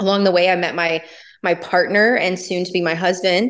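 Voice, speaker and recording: An ordinary speaking voice with an American accent moves at a fairly quick pace with fairly even intonation. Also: woman. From US South. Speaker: cannabis company founder. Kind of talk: interview. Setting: remote interview from Napa.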